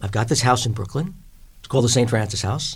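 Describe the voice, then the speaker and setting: With a New York accent, a man speaks at a medium pitch with ordinary pitch variation. His voice has vocal fry. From New York, Long Island. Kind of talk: interview.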